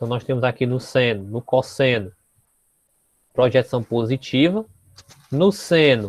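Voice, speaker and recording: A soft-spoken man talks at a medium pitch. He pauses long and often. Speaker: math teacher. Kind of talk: lecture. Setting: classroom.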